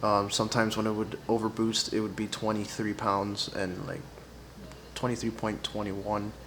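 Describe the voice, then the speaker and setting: A man speaks quietly in a fairly low pitch. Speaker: car enthusiast vlogger. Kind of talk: casual tutorial vlog. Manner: quiet, low voice; hesitant, many fillers.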